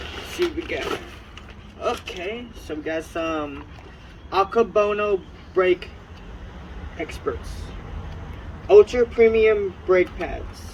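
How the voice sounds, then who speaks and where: Speech comes at a fairly slow pace, broken by long, frequent pauses, against noticeable background noise. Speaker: car hobbyist vlogger. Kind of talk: unboxing video. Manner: casual; loud.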